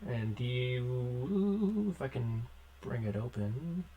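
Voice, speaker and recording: A man uses a put-on character voice at a medium pitch, speaking very slowly. Background noise is clearly heard. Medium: actual play.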